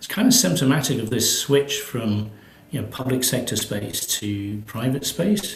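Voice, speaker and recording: A man with a British accent at a moderate pace, over noticeable background noise. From Britain. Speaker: space agency executive. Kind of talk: interview. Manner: hesitant, many fillers.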